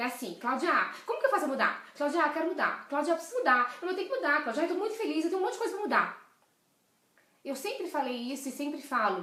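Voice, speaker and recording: The voice is raised and projected, animated in tone, very fast, with very wide pitch swings and audible room echo. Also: woman, high pitch for a woman. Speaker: leadership coach. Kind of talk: live stream talk. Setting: live video stream.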